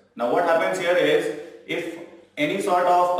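A man talks at a moderate pace with ordinary pitch variation, in a space with strong room echo. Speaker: tax tutor. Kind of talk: tutorial. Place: classroom. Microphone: camera far.

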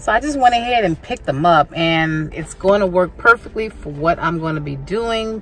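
A woman speaks at a moderate pace. Faint music plays in the background. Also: dry sound with no echo. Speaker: home decor vlogger. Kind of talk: casual vlog chat. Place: car. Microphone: phone near.

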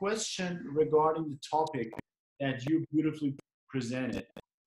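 Audible room echo surrounds a man whose voice sits fairly high in pitch. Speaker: dental webinar host; host asking the guest questions. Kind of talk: interview. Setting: video call. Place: home room. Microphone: video call.

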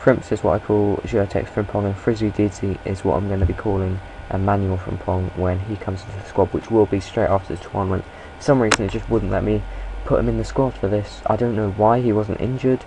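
Over noticeable background noise, a man speaks at a fairly quick pace in a fairly low voice. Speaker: gaming video creator. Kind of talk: video game commentary. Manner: hesitant, many fillers; animated.

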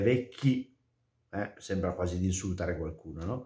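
A man speaks at a moderate pace in a room with audible echo but a quiet background. His tone is dark and mellow, somewhat breathy, with ordinary pitch variation. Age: 40s. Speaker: priest; religious commentator. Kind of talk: gospel commentary; casual chat. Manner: hesitant, with fillers. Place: home room. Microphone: webcam.

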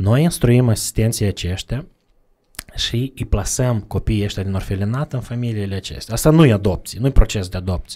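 A dark, mellow tone with ordinary pitch variation at a moderate pace, against a quiet background. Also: man. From Moldova, Bălți; Moldova. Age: 30s. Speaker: charity representative; podcast guest. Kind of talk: casual interview. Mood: calm, reflective. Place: studio. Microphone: studio mic.

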